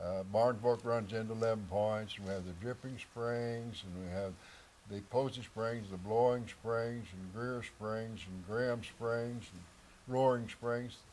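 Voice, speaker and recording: Speaking in an Ozarks accent, a man talks at a fairly slow pace with fairly even intonation. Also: medium pitch for a man, big swings in loudness. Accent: rural Ozarks Southern US. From Missouri Ozarks. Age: 80s+. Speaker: local elder interviewee. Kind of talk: interview storytelling.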